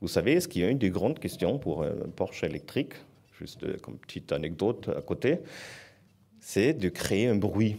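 A man with a German accent and a fairly low pitch speaks at a moderate pace in a dark, mellow tone, with very wide pitch swings and long, frequent pauses, on a very clean recording with a silent background. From southern Germany. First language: German (speaking French). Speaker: foundation director. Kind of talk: panel talk.

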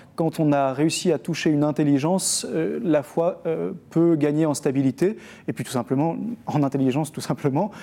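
A man talks at a moderate pace with a fairly high pitch. His tone is dark and mellow. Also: ordinary pitch variation. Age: 30s. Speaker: Dominican priest and teacher. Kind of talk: studio book discussion. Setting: TV studio set in a bookshop.

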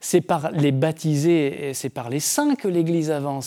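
An unremarkable speaking voice from a man, fairly high in pitch, at a moderate pace. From Brittany, France. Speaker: Dominican friar and theologian. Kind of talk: TV book discussion. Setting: TV set in a bookshop.

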